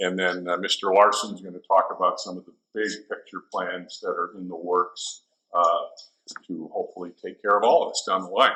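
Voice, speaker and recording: Moderate pace from a man. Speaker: water district manager. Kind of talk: presentation. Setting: stage with audience. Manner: loud.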